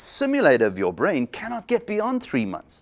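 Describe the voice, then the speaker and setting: On a very clean recording with a silent background, a man with vocal fry makes very wide pitch swings. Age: 60s. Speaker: psychologist. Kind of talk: interview.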